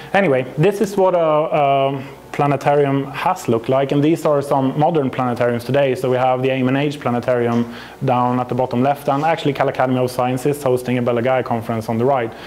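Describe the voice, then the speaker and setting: Noticeable background noise under a man with a Swedish accent, medium pitch, very fast pace, very even loudness and fairly even intonation. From Sweden. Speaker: astrophysicist and company representative. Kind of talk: conference presentation. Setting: stage with audience. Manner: halting.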